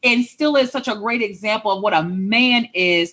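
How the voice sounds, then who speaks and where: A woman with a fairly high voice speaks at a moderate pace. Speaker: author and relationship coach. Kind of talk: casual chat. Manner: loud.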